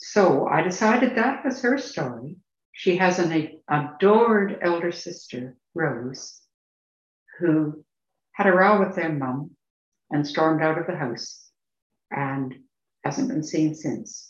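A woman with a fairly low voice talks at a very slow pace, her pitch swinging very widely and her speech broken by long, frequent pauses. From Ontario, Canada (rural farming community). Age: 70s. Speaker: novelist. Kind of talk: interview. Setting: remote call from England.

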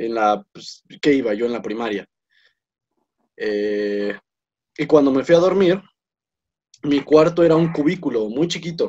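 Speaking with a Mexican accent, the voice has a dark, mellow tone, moves at a fairly slow pace and leaves long, frequent pauses. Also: man, fairly high pitch for a man, lively intonation. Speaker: podcast co-host. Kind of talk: casual chat.

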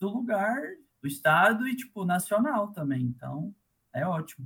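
With very wide pitch swings, a man speaks at a moderate pace in a high pitch for a man. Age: 20s. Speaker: electronic music producer and DJ. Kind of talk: casual interview.

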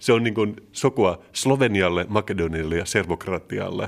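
A man has an unremarkable speaking voice with a fairly low pitch and a moderate pace. The recording is very clean, with a silent background. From Turku, southwest Finland. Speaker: podcast co-host. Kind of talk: casual chat.

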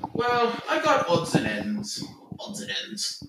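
Putting on a gruff character voice at a high pitch, a man talks at a fairly slow pace with a slight echo.

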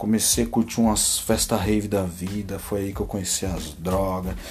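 A man is speaking. His pace is fairly slow. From Brazil, Limeira (São Paulo state). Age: 20s. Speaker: podcaster, maintenance worker. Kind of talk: casual solo monologue. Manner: halting.

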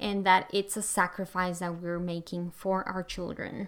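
A woman with a non-native accent at a fairly slow pace, on a very clean recording with a silent background. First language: not English. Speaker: podcast host, home education coach. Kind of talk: solo podcast monologue.

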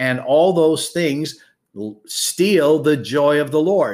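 Lively intonation comes through in a very clean recording with a silent background. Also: man. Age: 60s. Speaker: pastor and podcast host. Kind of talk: sermon. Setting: livestream teaching. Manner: emphatic, repeats key points.

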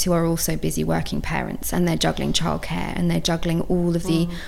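A woman talks at a very fast pace with a fairly low pitch. Audible room echo surrounds her voice. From multicultural household, Swedish father. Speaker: school inclusion specialist. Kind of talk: casual chat.

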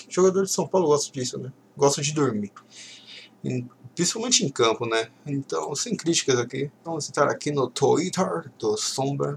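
Lively intonation runs through a man's fairly high-pitched, somewhat breathy voice. He speaks at a moderate pace. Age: 20s. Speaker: football podcast host. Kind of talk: solo casual commentary reading tweets. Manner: halting.

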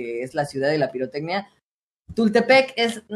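A man with an unremarkable speaking voice talks at a moderate pace, his pitch fairly high and his intonation lively. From Mexico, State of Mexico. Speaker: streamer and voice coach. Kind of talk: casual interview.

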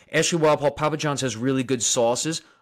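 A fairly high-pitched man with a Long Island accent at a fairly quick pace. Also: very clean recording, silent background. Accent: Long Island New York. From Long Island, New York. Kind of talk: casual live chat answering viewers.

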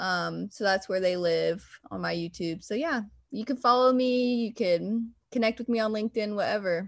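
A woman with a normal speaking voice talks at a moderate pace in a fairly high pitch, with ordinary pitch variation. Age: 20s. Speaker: recent college graduate, executive assistant. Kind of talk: casual interview chat.

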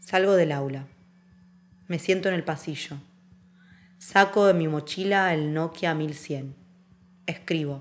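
With long, frequent pauses, a woman speaks at a very slow pace, her fairly low pitch held in fairly even intonation. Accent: Rioplatense. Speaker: actress and dancer. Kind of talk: scripted narration.

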